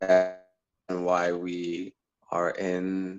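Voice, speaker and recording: A man speaks at a very deep, low pitch in a monotone, flat intonation. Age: 20s. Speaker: political candidate. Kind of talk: interview. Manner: halting, many fillers.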